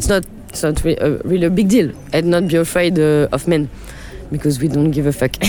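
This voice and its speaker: A woman with a French accent speaks at a fairly quick pace in a very deep, low pitch with ordinary pitch variation. Her loudness stays very even over noticeable background noise. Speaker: DJ and producer. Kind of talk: interview. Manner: halting.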